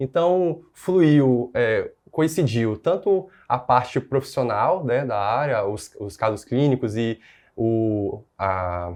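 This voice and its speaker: At a very slow pace, a man with medium pitch speaks with lively intonation against a quiet background. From northern Brazil, interior of Pará. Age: 20s. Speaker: newly qualified doctor. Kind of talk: interview. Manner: halting, with fillers.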